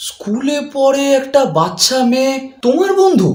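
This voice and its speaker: Using a put-on character voice at an extremely high pitch, a man speaks with audible echo. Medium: short film. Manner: practical, slightly exasperated.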